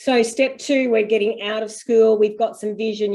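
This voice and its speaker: Against a quiet background, a woman with an Australian accent speaks with fairly even intonation. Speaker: homeschool parent and panel host. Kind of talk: video call Q&A panel. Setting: video call.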